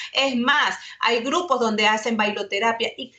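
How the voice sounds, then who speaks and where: There is noticeable background noise as a woman talks at a fairly high pitch. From Ecuador. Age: 40s. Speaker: webinar panelist, communications lecturer. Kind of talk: webinar presentation.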